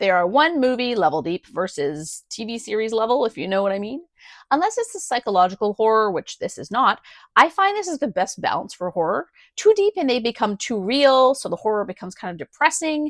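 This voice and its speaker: A woman with a Canadian accent, fairly high in pitch, at a fairly quick pace, with very wide pitch swings, big swings in loudness, a dry, close sound with no echo, and a quiet background. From Canada. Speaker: book reviewer. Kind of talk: book review. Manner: casual, chatty.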